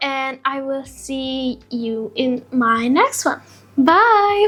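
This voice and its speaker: A woman with a high pitch and a non-native accent. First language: not English. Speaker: beauty influencer. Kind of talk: product review vlog. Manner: casual, chatty.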